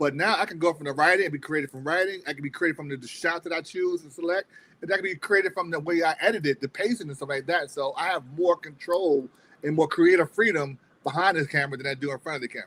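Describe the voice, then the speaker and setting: A man's fairly high, bright, sharp voice at a very fast pace, with big swings in loudness and a dry, close sound with no echo. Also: ordinary pitch variation. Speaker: independent filmmaker. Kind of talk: interview.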